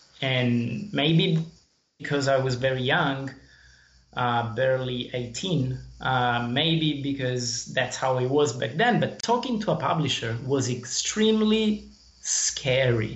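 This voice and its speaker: A man with a medium pitch speaks very slowly with lively intonation and very even loudness, amid audible room echo. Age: 30s. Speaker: indie game developer. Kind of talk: interview. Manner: halting.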